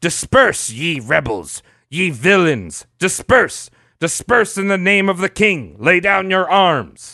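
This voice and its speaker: A man's put-on character voice, high-pitched with lively intonation, at a fairly slow pace against a quiet background. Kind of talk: formal, archaic. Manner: pompous, commanding.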